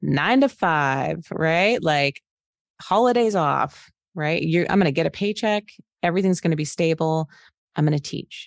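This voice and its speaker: A woman with an American accent uses a normal speaking voice at a fairly low pitch and a moderate pace. The sound is dry and close with no echo, and the background is quiet. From Arizona (Phoenix). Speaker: financial planner and business founder. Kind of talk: interview.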